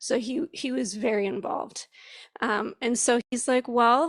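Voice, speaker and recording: With an American accent and an unremarkable speaking voice, a woman talks at a fairly slow pace, her fairly high pitch showing ordinary pitch variation, in a dry, close sound with no echo. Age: 40s. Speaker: parent and church member. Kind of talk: church service panel talk.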